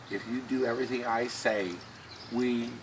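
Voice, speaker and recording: A man with an American accent speaks in a fairly low voice with fairly even intonation. Noticeable background noise runs behind him. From US Midwest, western Ohio. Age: 60s. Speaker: person with Tourette syndrome, author. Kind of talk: personal testimony. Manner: halting.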